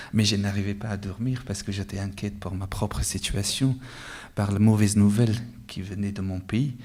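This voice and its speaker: Somewhat breathy and dark, mellow in tone, a man's fairly low voice holds a moderate pace and fairly even intonation. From Afghanistan. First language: Dari or Pashto (Afghan language) (speaking French). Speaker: author, award winner. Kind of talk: interview at award ceremony. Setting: award ceremony with audience.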